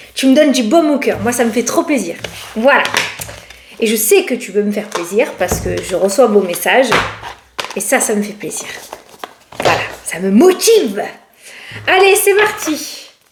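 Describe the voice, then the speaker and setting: Speaking at a moderate pace with long, frequent pauses, a woman uses a high pitch, very wide pitch swings and an animated tone, with audible room echo and noticeable background noise. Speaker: tarot card reader. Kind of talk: casual tarot reading to camera. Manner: chatty, animated.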